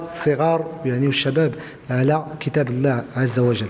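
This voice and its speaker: A man speaks with a fairly high pitch and fairly even intonation. There is noticeable background noise. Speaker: regional official of a traders' union. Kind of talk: interview. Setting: event at a media library. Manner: halting, many fillers.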